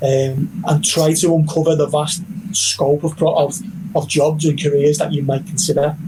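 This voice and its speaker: With a Liverpool accent, a man speaks at a fairly high pitch with fairly even intonation over noticeable background noise. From northern England, Liverpool. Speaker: university recruitment representative. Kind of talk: virtual counselling presentation.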